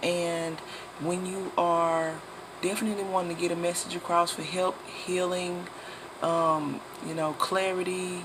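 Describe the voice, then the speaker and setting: The speech goes at a fairly slow pace over noticeable background noise. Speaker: tarot reader. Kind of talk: tarot reading monologue.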